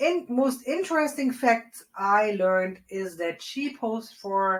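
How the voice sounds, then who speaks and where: Woman with a strong non-native accent, fairly high pitch, very wide pitch swings and a very slow pace. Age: 40s. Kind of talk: casual movie review to camera. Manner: chatty, upbeat.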